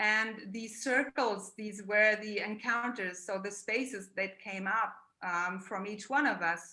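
Speaking with a German accent, a woman has a bright, sharp tone and a fairly high pitch. Her pace is fairly slow, with hardly any pauses. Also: fairly even intonation. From Germany. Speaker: therapist and artist. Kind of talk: art presentation. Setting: video call.

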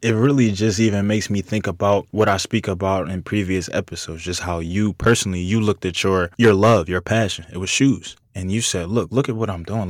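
Very fast speech with fairly even intonation, on a very clean recording with a silent background. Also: man. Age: 20s. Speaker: podcast host. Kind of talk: casual interview.

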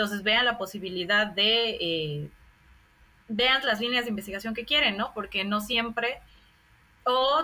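A woman talks at a moderate pace and a medium pitch. Her tone is bright and sharp. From Bolivia. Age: 30s. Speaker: sociologist and scholarship advisor. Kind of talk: interview.

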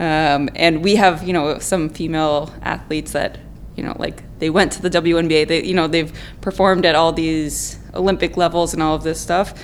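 Background noise is noticeable here. The pace is moderate. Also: woman. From California. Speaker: licensed therapist. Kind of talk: casual interview.

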